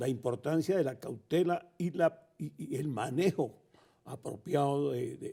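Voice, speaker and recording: The voice is somewhat breathy. The pace is fairly slow. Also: man, fairly high pitch for a man, ordinary pitch variation. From Colombia. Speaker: veteran radio announcer. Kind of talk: interview answer.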